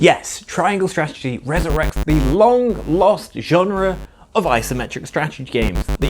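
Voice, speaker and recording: With music in the background, a man speaks at a moderate pace using very wide pitch swings. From Britain. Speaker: game reviewer. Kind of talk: comedic video game review narration.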